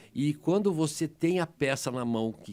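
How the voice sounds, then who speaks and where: A man's fairly high voice with vocal fry. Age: 60s. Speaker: emergency doctor. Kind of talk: interview. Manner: animated, emotional; halting, many repetitions.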